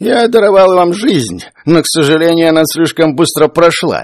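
A man speaks in a put-on character voice. His pitch is high and his pace moderate. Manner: sad.

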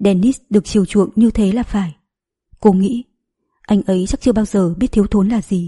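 A natural reading voice comes through with a quiet background behind it.

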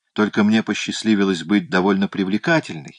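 The intonation is lively as someone is reading aloud in a natural voice.

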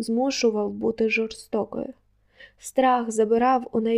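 Plain reading aloud in a fairly even intonation

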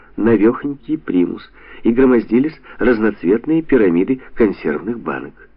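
A natural reading voice carries the text with lively intonation.

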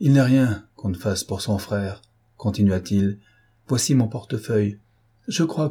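The pitch varies in an ordinary way as the speaker reads aloud plainly.

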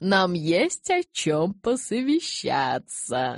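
On a very clean recording with a silent background, a woman puts on a character voice, speaking very slowly with very wide pitch swings. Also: fairly low pitch for a woman.

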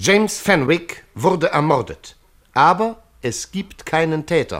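Using a put-on character voice, a man speaks slowly with a fairly high pitch and big pitch swings. His tone is fairly bright.

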